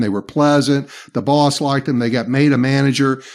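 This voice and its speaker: Speaking at a moderate pace with a Southern US accent, a man uses monotone, flat intonation. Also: very clean recording, silent background. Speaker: leadership trainer. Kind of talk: podcast interview.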